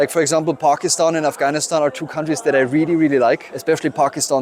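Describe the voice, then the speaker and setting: A man with a German accent at a very fast pace and fairly high pitch, amid noticeable background noise. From Germany. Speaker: photographer. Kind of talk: interview answer. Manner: hesitant, with fillers and repeats.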